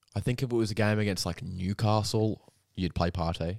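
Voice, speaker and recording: In a dry, close recording with no echo, a man with an Australian accent talks at a moderate pace, his fairly low voice showing ordinary pitch variation. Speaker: football podcast co-host. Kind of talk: casual chat.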